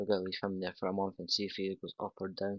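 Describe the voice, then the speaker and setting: Close, dry sound with no echo carries a voice with a Scottish accent. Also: man. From Scotland. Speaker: gaming youtuber. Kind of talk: gameplay commentary. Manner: casual, conversational.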